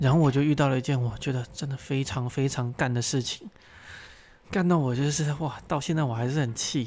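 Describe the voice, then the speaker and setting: Music can be heard in the background. Over it, a man speaks at a fairly quick pace. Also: fairly high pitch for a man, fairly even intonation. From Taiwan (Pingtung). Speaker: podcast host and tour guide. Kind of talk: casual chat. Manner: unedited rambling talk.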